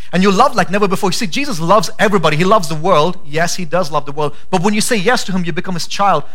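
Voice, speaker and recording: A man talks at a very fast pace with hardly any pauses, his high-pitched voice animated in tone and ordinary in pitch variation, over noticeable background noise. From India. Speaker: pastor. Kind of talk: sermon. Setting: church with congregation.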